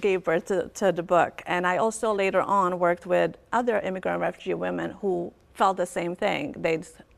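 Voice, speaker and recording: A woman talks at a medium pitch with vocal fry and fairly even intonation. She speaks with hardly any pauses. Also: moderate pace. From Bosnia. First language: Bosnian. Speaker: author and academic advisor. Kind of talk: TV interview.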